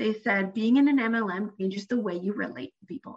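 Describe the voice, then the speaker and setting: Speaking at a fairly quick pace, a woman with a Canadian accent has an ordinary speaking voice, medium pitch and ordinary pitch variation. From Canada. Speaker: therapist, former MLM seller. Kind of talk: casual interview chat.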